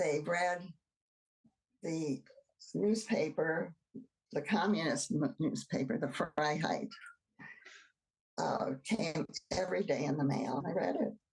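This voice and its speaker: A woman's fairly low, somewhat breathy voice with an American accent, lively intonation and very even loudness, at a very slow pace with long, frequent pauses. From US Midwest, Cleveland, Ohio. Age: 80s+. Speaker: oral history interviewee. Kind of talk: oral history interview. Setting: video call.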